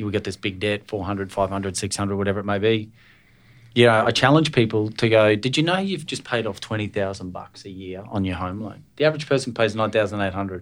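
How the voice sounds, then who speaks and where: Talking at a very fast pace with an Australian accent and ordinary pitch variation, a man is heard on a very clean recording with a silent background. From Scotland. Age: 40s. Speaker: podcast host and business owner. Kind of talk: casual interview.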